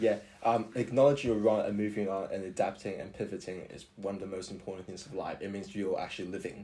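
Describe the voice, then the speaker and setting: A man with an Australian accent speaks very fast, with hardly any pauses and big swings in loudness. His fairly low voice has a dark, mellow tone and fairly even intonation. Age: 20s. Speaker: university student. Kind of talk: podcast interview. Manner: halting.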